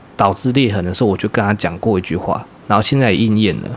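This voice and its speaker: A man speaks amid noticeable background noise. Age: 30s. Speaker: podcast co-host, workplace supervisor. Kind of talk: casual chat.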